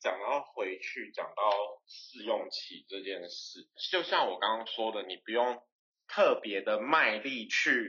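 A man speaks at a very slow pace. His loudness rises and falls sharply. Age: 20s. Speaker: interior designer podcast co-host. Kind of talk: casual chat.

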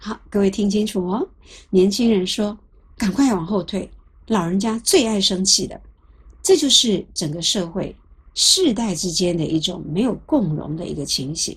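A somewhat breathy voice at a fairly slow pace, with lively intonation and big swings in loudness, in a very clean recording over a silent background. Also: woman, medium pitch for a woman. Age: 60s. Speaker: lecturer on psychology of aging. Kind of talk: lecture. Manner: conversational, with frequent filler sounds.

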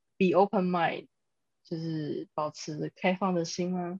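Dry, close sound with no echo from a woman at a medium pitch. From Taiwan. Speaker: guest. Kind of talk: casual chat.

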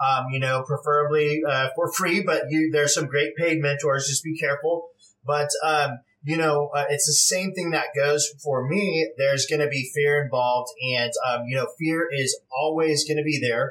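A man with an American accent speaks at a fairly high pitch and a moderate pace. His loudness stays very even, his intonation fairly even, and he hardly pauses. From California. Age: 40s. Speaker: real estate investor. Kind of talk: interview. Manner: hesitant, many fillers.

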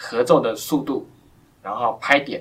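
Here a man is talking. The pitch is medium. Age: 20s. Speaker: blind pianist. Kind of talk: interview. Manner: halting.

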